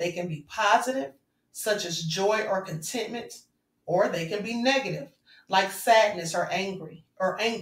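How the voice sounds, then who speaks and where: Pitch variation is ordinary at a moderate pace. It is a plain, everyday voice. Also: woman. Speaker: spiritual vlogger. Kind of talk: spiritual talk to viewers.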